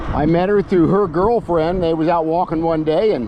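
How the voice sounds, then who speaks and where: This man's voice sits high for a man, relaxed in tone, with ordinary pitch variation. He speaks at a moderate pace in a dry, echo-free recording with noticeable background noise. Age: 70s. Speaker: e-bike reviewer and vlogger; senior cycling vlogger. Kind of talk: casual vlog while riding; casual vlog chat. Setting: outdoors on a bike trail. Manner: relaxed, with frequent filler pauses. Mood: relaxed, chatty. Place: bicycle. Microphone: camera far.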